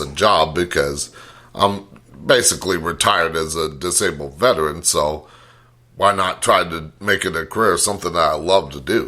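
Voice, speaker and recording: A man's voice is very deep and low, with a bright, sharp tone. He keeps a moderate pace and fairly even intonation. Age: 40s. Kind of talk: casual interview chat. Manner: hesitant, many fillers.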